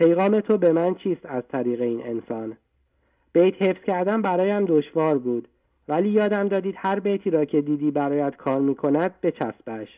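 The man's voice is high-pitched, with a dark, mellow tone. His intonation is lively, in a dry, close sound with no echo. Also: moderate pace. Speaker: caller. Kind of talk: reading aloud. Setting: phone call. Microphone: good line.

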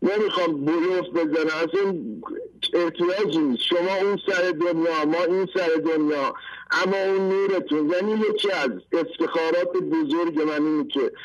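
Noticeable background noise runs under the speech. The loudness stays very even, and the pitch varies in an ordinary way. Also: man, high pitch for a man, moderate pace. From Iran, rural Fasham area near Tehran. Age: 50s. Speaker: caller. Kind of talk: testimony. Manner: animated.

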